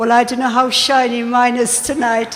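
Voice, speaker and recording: Noticeable background noise sits behind the speaker. She is a woman with a fairly high-pitched voice. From Ireland. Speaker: deputy mayor. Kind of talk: formal speech at event.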